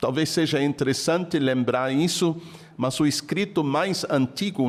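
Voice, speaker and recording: Noticeable background noise accompanies a man speaking fairly slowly at a fairly high pitch, with ordinary pitch variation. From Germany. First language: German (speaking Portuguese). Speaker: Bible scholar. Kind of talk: interview.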